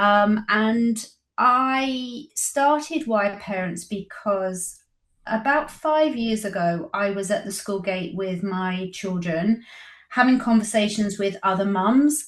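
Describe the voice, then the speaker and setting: A woman's medium-pitched, somewhat breathy voice at a very slow pace, with ordinary pitch variation. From Britain. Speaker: publisher of parenting resource. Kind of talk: interview.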